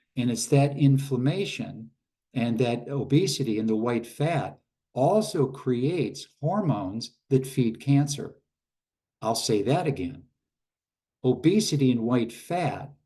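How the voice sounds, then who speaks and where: Speaking at a very slow pace, a man with a medium pitch sounds somewhat breathy and uses lively intonation. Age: 70s. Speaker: craniosacral therapist and army veteran. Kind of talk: lecture. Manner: halting, with fillers; repeats key points for emphasis.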